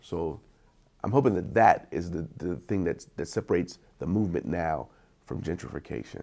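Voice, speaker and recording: A man with an American accent speaks at a very deep, low pitch, his tone dark and mellow with vocal fry. He keeps a moderate pace and lively intonation. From East Wheeling, West Virginia. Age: 40s. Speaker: youth counselor. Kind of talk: interview answer. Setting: outdoors.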